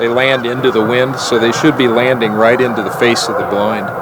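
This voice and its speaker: A man at a medium pitch, monotone and flat, moving at a fairly quick pace against noticeable background noise. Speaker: photographer and conservationist. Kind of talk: documentary interview answer.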